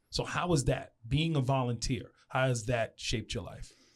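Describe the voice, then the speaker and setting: With an American accent, a man speaks at a fairly slow pace in a fairly high pitch, his voice somewhat breathy. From Long Island, New York. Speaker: radio host. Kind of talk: interview.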